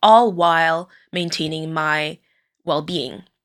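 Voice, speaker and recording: In a very clean recording with a silent background, a woman with a French Canadian accent speaks at a fairly slow pace, fairly low in pitch, with a bright, sharp tone and monotone, flat intonation. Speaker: podcast host, occupational therapist. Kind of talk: personal monologue. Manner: hesitant, many fillers.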